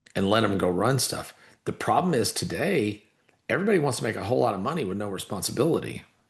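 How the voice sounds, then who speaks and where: A somewhat breathy man's voice at medium pitch, very wide pitch swings and a very fast pace, over a quiet background. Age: 60s. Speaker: entrepreneur and investor. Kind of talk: casual chat.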